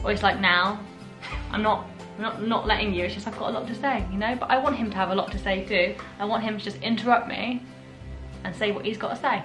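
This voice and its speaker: Over clear background music, a woman talks very fast with ordinary pitch variation. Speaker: vlogger. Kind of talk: casual vlog chat. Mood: cheerful, laughing. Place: home room. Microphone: phone near.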